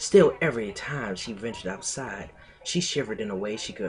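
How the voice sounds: The clip features a natural reading voice.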